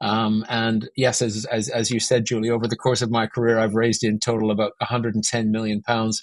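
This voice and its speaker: With a Canadian accent, a man at a medium pitch talks at a fairly quick pace with hardly any pauses, his intonation monotone and flat and his loudness very even. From Canada, Vancouver. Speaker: business finance consultant. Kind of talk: podcast interview.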